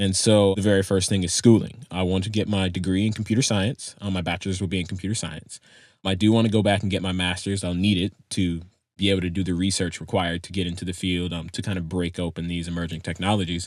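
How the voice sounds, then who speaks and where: A man speaks at a very fast pace in a very deep, low pitch. His intonation is monotone and flat. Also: very clean recording, silent background. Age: 18. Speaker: podcast producer, high school graduate. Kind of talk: casual interview chat.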